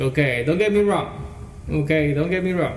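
A man speaks with ordinary pitch variation. Noticeable background noise and audible room echo surround his voice. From El Salvador. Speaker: DJ. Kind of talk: interview. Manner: halting.

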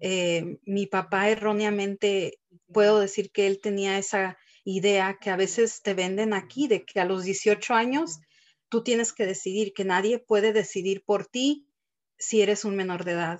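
Speaking at a fairly slow pace, a woman has an ordinary speaking voice. Her pitch is medium and her intonation fairly even. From Texas, Mexican family from Guanajuato. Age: 30s. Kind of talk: testimony.

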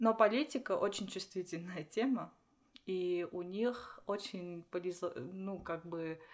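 A woman's medium-pitched voice shows ordinary pitch variation as she speaks very slowly. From Armenia, Vanadzor. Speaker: doctoral student and lecturer. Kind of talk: casual interview chat. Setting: in person, same room. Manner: halting.

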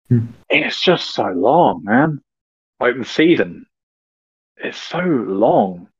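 With a British accent, a man speaks very slowly at a medium pitch. His pitch swings very widely, and he pauses long and often. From Britain. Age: 30s. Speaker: podcast guest. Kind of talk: casual chat.

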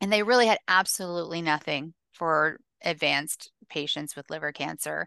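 Against a quiet background, a woman with an American accent speaks in a very deep, low voice at a moderate pace with ordinary pitch variation. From US South. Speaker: author and patient advocate. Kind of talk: interview conversation.

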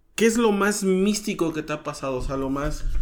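A man's voice with audible room echo. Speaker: podcast host. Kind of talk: casual interview. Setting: outdoors.

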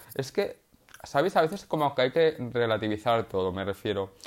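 A man at a medium pitch and moderate pace. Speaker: podcaster and art student. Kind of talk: casual monologue.

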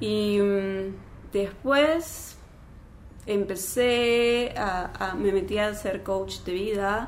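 Audible room echo surrounds a woman speaking at a very slow pace in a calm tone with ordinary pitch variation. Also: medium pitch for a woman. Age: 40s. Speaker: former telenovela actress, life coach and meditation teacher. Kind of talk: casual chat.

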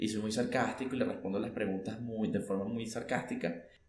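Someone with a Venezuelan accent is heard with noticeable background noise and audible room echo. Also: man. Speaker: podcast co-host. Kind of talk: casual chat.

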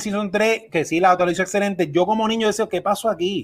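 In a very clean recording with a silent background, a man with a Puerto Rican accent and a high pitch talks fairly quickly with ordinary pitch variation. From Puerto Rico. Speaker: podcast host. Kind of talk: casual chat.

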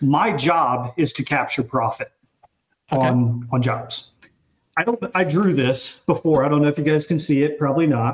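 A somewhat breathy man speaks at a moderate pace with very even loudness. His pitch is fairly high for a man, with ordinary variation. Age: 30s. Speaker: gaming podcast guest. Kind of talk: casual panel discussion. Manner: halting.

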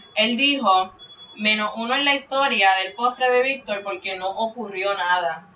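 A woman with a fairly high pitch and ordinary pitch variation is heard over noticeable background noise. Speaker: podcaster. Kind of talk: casual chat.

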